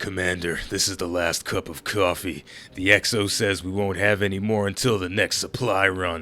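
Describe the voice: A man does a put-on character voice that is gravelly and very deep, speaking at a moderate pace in a flat monotone on a very clean recording with a silent background.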